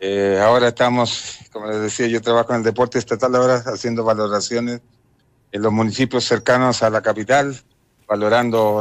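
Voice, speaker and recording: The speech moves at a moderate pace in a monotone with flat intonation. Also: man. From Chile. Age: 50s. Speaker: former footballer. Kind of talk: phone interview.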